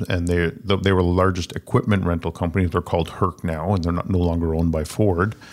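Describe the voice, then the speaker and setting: In a Canadian accent, a man with a very deep, low pitch speaks with fairly even intonation. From Ottawa, Canada. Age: 50s. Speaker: entrepreneur. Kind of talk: casual interview. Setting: studio.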